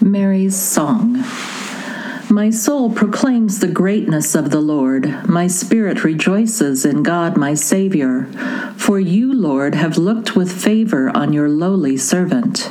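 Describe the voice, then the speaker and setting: A woman talks at a very slow pace, her intonation lively. Noticeable background noise runs behind her. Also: medium pitch for a woman, very even loudness. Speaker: worship leader. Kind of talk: fervent intercessory prayer and liturgical reading. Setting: recorded audio service, listeners can pause it.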